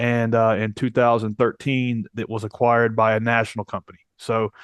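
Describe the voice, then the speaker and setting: Using monotone, flat intonation, a man with an American accent and medium pitch speaks at a moderate pace in a dry, close sound with no echo. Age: 40s. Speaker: entrepreneur. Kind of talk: interview.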